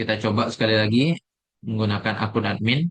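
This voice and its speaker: Medium pitch from a man, with ordinary rises and falls. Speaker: programming tutor. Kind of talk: screen-recorded coding tutorial. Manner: halting with fillers; soft-spoken.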